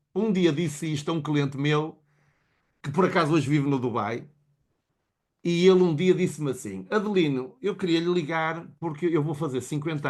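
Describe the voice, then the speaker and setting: Over a quiet background, a man with fairly high pitch talks at a moderate pace with ordinary pitch variation. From Portugal. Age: 60s. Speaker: motivational speaker. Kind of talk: motivational talk. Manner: animated.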